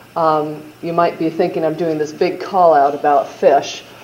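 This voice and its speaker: Against noticeable background noise and audible room echo, a woman with a Midwestern accent speaks at a fairly slow pace in a fairly low pitch. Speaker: state health agency official. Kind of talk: conference presentation. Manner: casual with frequent fillers.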